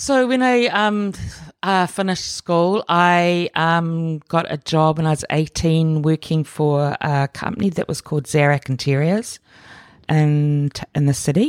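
With a New Zealand accent, a woman speaks at a fairly low pitch with lively intonation, in a dry, close sound with no echo on a very clean recording with a silent background. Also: fairly slow pace, very even loudness. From New Zealand, Auckland. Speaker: artist and curator. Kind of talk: interview conversation.

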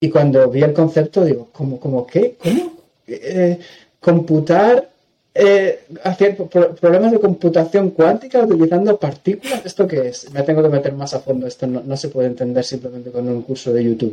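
Lively intonation marks this man's fairly high voice. His tone is dark and mellow, and his pace is moderate. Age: 40s. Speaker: cloud solutions architect. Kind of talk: technical interview.

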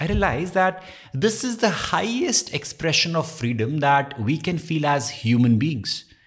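Somewhat breathy, a man with a fairly high pitch speaks at a fairly slow pace. His pitch swings very widely. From India (Dehradun, Uttarakhand). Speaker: podcast host and content creator. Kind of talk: solo self-help podcast monologue.

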